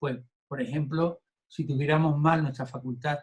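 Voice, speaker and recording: A man at a fairly slow pace. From Andalusia, southern Spain. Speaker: Buddhism course teacher. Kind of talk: lecture. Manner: halting, with fillers and repetitions.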